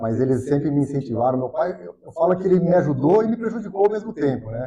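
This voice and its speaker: A very fast, lively-intoned male voice, fairly high in pitch, with a dark, mellow tone and a somewhat breathy quality. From Brazil, Piracicaba (São Paulo state interior). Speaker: economist, financial consultant. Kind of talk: podcast interview.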